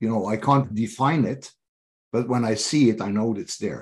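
Speaking with a Norwegian accent, a man keeps a moderate pace and ordinary pitch variation. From Norway. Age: 50s. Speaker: leadership coach. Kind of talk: interview. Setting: video call. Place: home room. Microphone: video call.

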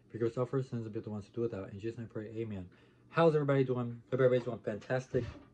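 A man's dark, mellow, somewhat breathy voice at a very fast pace, with fairly even intonation. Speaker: mukbang vlogger. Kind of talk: casual vlog chat. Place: home room. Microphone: phone near.

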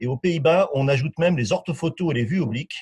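Against a quiet background, a man talks at a fairly quick pace. His voice is somewhat breathy, with lively intonation. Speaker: sales development manager. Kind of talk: webinar presentation. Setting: online webinar.

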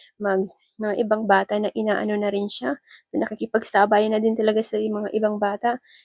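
At a moderate pace, a woman speaks in a monotone, flat intonation with a fairly high pitch. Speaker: vlogger. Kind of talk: casual vlog narration. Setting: indoor playground.

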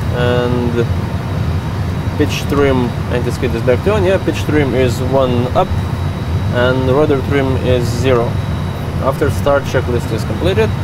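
Long, frequent pauses over loud background noise, in a dry sound with no echo. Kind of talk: cockpit checklist callouts.

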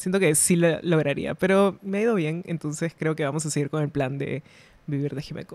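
A woman's very deep, low voice, with ordinary pitch variation, comes through a dry sound with no echo. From Peru. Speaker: illustrator; podcast guest. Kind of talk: casual chat. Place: studio. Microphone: studio mic.

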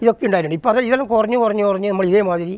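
A man speaks with a high pitch and ordinary pitch variation. The sound is dry, with no echo. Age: 70s. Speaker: traditional potter. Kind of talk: interview testimony. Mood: rueful, explaining hardships. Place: home room. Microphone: lapel.

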